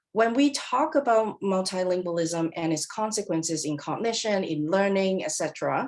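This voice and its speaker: Using lively intonation and hardly any pauses, a woman with a Cantonese accent and a medium pitch speaks at a moderate pace. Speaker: professor. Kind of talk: lecture.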